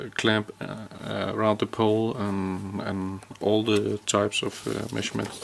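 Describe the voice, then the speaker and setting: Speaking at a fairly slow pace with a Danish accent, a man uses a fairly low pitch and monotone, flat intonation over light background noise. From Denmark. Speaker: electrician. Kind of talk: tutorial. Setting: indoors. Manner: halting. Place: open country. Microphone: phone near.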